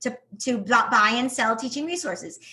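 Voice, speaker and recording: A woman with a strong New York accent talks fairly quickly in a raised, projected voice with an animated tone. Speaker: teacher turned online business owner. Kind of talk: podcast interview.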